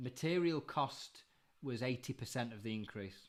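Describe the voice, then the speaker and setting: This is a man speaking. He has a Yorkshire accent. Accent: Bradford. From northern England, Bradford. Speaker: live stream co-host, industry commentator. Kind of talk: casual live stream chat.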